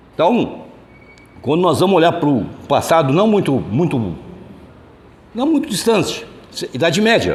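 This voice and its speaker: This man's voice is high in pitch, with very wide pitch swings and very even loudness at a fairly slow pace. He leaves long, frequent pauses, and the recording carries audible room echo and noticeable background noise. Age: 70s. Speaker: spiritist lecturer. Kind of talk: lecture. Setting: hall with audience, no microphone. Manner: loud, projecting to the room. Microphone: no microphone, room sound.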